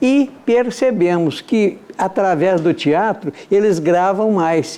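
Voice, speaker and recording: A man's high-pitched voice, dark and mellow in tone, with lively intonation. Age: 70s. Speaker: amateur theatre actor. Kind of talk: interview.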